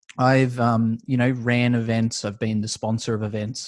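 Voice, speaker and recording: With an Australian accent, a man speaks at a medium pitch and moderate pace in monotone, flat intonation against a quiet background. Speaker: esports business owner. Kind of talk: interview. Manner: casual, filler-heavy.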